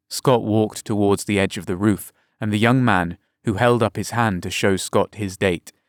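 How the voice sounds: Heard over a quiet background, this is a natural reading voice.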